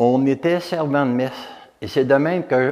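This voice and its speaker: A man speaks at a fairly slow pace with ordinary pitch variation. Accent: Quebec. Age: 70s. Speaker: retired volunteer and former mayor. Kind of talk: testimony. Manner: halting.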